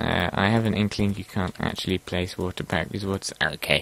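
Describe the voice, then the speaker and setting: A man is speaking. His pitch is fairly low. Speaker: gaming video creator. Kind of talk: gameplay commentary. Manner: casual, hesitant with fillers.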